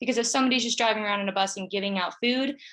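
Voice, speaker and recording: The woman's voice has a bright, sharp tone and ordinary pitch variation. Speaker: student pitching a food pantry project. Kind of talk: pitch presentation with Q&A. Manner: fast.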